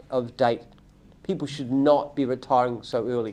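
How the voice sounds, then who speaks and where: With an Australian accent, a man speaks in a dark, mellow tone. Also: quiet background. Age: 70s. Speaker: company founder and CEO. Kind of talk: live Q&A. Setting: livestream.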